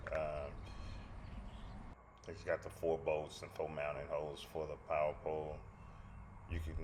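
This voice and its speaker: A man talks at a moderate pace, his voice picking up audible room echo amid noticeable background noise. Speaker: fishing vlogger. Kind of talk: tutorial. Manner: halting, many fillers; mumbling at times.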